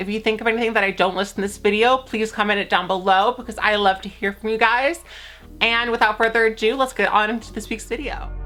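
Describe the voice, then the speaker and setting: Over music in the background, a woman speaks at a very fast pace. Her pitch is fairly high. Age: 20s. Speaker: YouTuber. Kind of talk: casual vlog talk to camera. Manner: animated.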